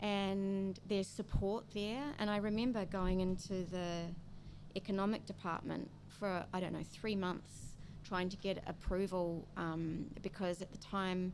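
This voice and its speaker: A woman with a New Zealand accent, medium pitch, moderate pace and fairly even intonation. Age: 60s. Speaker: coffee roastery founder. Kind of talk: interview.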